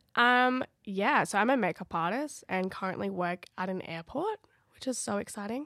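In an Australian accent, a woman talks at a moderate pace and medium pitch, her bright, sharp tone full of lively intonation, in a dry, close sound with no echo. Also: very clean recording, silent background. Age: 20s. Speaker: podcast co-host, makeup artist. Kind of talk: casual chat.

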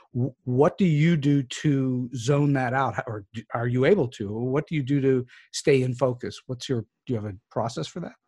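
Somewhat breathy, the voice carries a dark, mellow tone. Its pace is moderate and its pitch varies in an ordinary way. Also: man, medium pitch for a man, dry, close sound with no echo. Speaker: podcast host. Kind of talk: interview questions.

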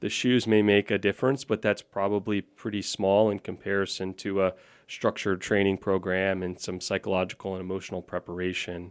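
A man with an American accent speaks at a fairly quick pace in a monotone, flat intonation, with hardly any pauses. The sound is dry and close with no echo. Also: fairly low pitch for a man, very clean recording, silent background. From Florida (Orlando). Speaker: orthopaedic surgeon. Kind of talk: podcast interview. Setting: studio.

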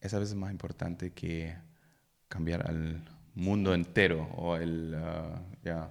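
Speaking at a very slow pace, a man with a German accent has a very deep, low pitch. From Germany. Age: 30s. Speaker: podcast co-host. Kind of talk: casual chat between spouses.

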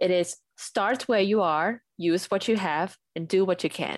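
A woman's fairly low voice with a Thai accent, fairly even intonation, moderate pace, over a quiet background. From Thailand. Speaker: UX designer and paper florist. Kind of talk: interview.

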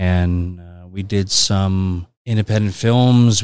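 Very slowly and with fairly even intonation, a man speaks in a Californian accent on a very clean recording with a silent background. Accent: Californian American. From Los Angeles, San Fernando Valley. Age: 40s. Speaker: film and TV executive, former actor. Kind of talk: casual interview.

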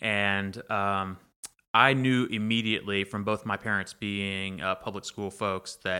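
In a very clean recording with a silent background, a man with an Alabama accent talks at a fairly slow pace in a fairly low, bright, sharp voice with monotone, flat intonation. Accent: Alabama Southern US. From Alabama, Pike County (rural). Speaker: environmental campaigner. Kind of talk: interview conversation. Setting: in person, Troy, Alabama.

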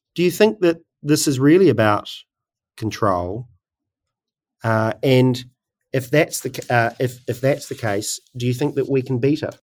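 This speaker has a New Zealand accent and ordinary pitch variation. The pace is fairly slow, broken by long, frequent pauses. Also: man, medium pitch for a man. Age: 30s. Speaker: podcast host. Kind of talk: interview. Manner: halting.

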